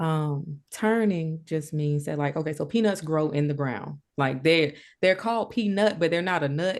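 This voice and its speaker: With a Southern US accent, a woman speaks at a moderate pace with hardly any pauses, her very deep, low pitch showing ordinary variation against a quiet background. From rural Georgia, US. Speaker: collage artist and writer. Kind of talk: interview answer. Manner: casual, conversational.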